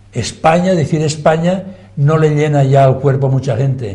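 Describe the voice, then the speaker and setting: A man speaks at a fairly slow pace, somewhat breathy, with a dark, mellow tone. Audible room echo fills the recording. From Catalonia, Spain. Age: 80s+. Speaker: former politician. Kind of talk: TV debate. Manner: animated.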